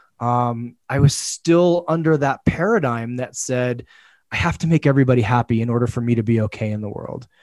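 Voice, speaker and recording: A man with a plain, everyday voice and lively intonation, at a moderate pace, in a very clean recording with a silent background. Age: 40s. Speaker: men's coach. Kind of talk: casual chat.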